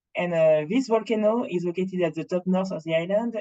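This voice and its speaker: The speaker has a Martinique accent. Delivery is at a fairly quick pace. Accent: French Caribbean (Martinique). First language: French. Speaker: rum brand representative. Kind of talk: presentation at online tasting. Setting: online video event. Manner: halting with many fillers.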